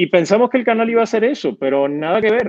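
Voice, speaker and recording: A man speaks with lively intonation over a quiet background. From Puerto Rico, Argentine parents. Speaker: comedian and TV/radio producer. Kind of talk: casual interview. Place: home room. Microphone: earbuds.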